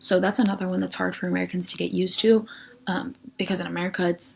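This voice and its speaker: A woman with a Western Pennsylvania accent talks at a very fast pace over noticeable background noise. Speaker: education student presenter. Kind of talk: recorded class lecture presentation. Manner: casual, frequent ums.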